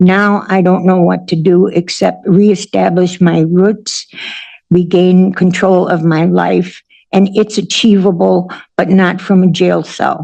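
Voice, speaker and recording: This woman speaks very slowly in an American accent at a medium pitch. Her intonation is monotone and flat, and her loudness stays very even. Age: 60s. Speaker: defendant. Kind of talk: courtroom statement. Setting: courtroom.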